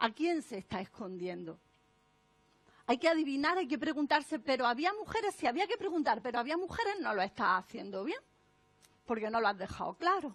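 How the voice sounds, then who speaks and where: Amid noticeable background noise, a woman with an Andalusian accent talks at a fairly quick pace in a high pitch, animated and swinging very widely in pitch. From Andalusia, Spain. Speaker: author and speaker on non-sexist language. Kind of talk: conference talk.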